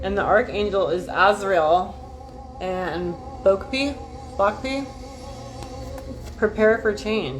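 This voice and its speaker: A woman with a medium pitch speaks with lively intonation. Music plays in the background, and she takes long, frequent pauses. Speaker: YouTuber doing card readings. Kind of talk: casual livestream chat with oracle card reading. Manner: fast; animated.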